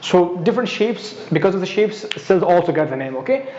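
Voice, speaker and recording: A very fast pace and lively intonation against noticeable background noise. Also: man. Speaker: biology lecturer. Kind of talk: lecture. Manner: halting.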